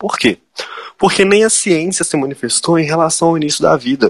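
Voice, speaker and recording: Here a man speaks at a moderate pace with a fairly high pitch. The sound is dry and close, with no echo. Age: 20s. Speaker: political candidate, law student. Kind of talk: interview.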